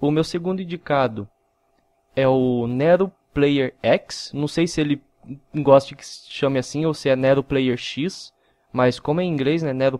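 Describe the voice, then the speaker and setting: An unremarkable speaking voice at a fairly slow pace, with fairly even intonation, big swings in loudness, and a dry, close sound with no echo. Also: man. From interior of São Paulo, Brazil (Mogi Mirim). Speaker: gaming YouTuber. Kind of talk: casual vlog.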